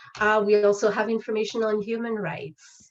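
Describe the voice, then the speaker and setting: A woman with a French accent, speaking at a fairly slow pace. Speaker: legal education presenter. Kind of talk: webinar presentation. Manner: hesitant, many fillers.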